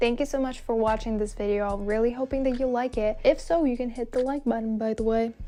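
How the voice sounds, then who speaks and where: Over music in the background, a woman talks very fast with hardly any pauses. Her voice is high-pitched, with fairly even intonation. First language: not English. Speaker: vlogger. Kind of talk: casual vlog talking to camera. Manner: casual, chatty.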